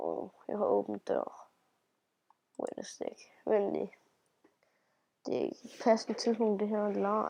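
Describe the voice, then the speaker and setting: A woman speaks at a very slow pace. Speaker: gaming youtuber. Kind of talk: casual vlog intro. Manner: hesitant, many fillers.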